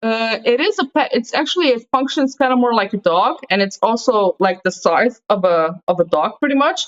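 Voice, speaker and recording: A woman with a Slovenian accent speaks at a moderate pace and a fairly high pitch, with very wide pitch swings and hardly any pauses. Her loudness is very even, and the sound is dry and close with no echo. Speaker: podcast host. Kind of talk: casual chat.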